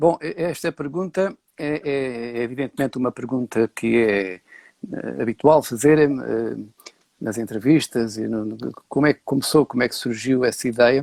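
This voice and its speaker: Recorded dry and close with no echo, a man speaks at a fairly slow pace in a medium pitch, with ordinary pitch variation and big swings in loudness. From Portugal, Beira (Castelo Branco). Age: 60s. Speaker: set designer and architecture professor. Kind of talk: interview. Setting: live stream. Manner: hesitant, many filler sounds.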